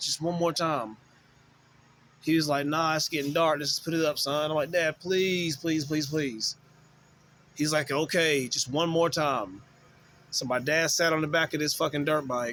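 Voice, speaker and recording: In a Southern US accent, a man with a fairly high pitch talks at a moderate pace with fairly even intonation and long, frequent pauses. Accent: Southern US country. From US South, western North Carolina. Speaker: YouTuber telling personal stories. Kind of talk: casual storytelling.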